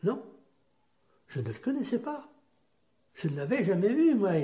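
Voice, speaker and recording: A man speaks fairly slowly with very wide pitch swings. The recording carries audible room echo. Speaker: grandfather sharing war memories. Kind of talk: testimony.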